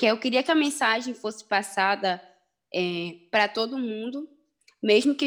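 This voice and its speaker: Her voice sits fairly high in pitch, and this woman's pitch varies in an ordinary way. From Belém, Pará, northern Brazil. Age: 20s. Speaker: rapper and activist. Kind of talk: casual interview.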